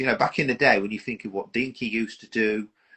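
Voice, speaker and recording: A man with an English accent speaks at a fairly quick pace and a medium pitch. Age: 50s. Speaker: model aircraft collector. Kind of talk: casual chat.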